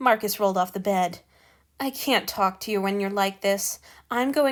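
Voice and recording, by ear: Pitch moves in an ordinary way. The text is read aloud in a natural voice.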